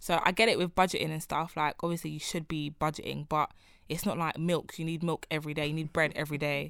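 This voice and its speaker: In a very clean recording with a silent background, a woman with a London accent speaks very fast in a flat monotone at a very deep, low pitch. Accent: London Multicultural English. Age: 20s. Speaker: podcast host. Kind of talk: casual chat.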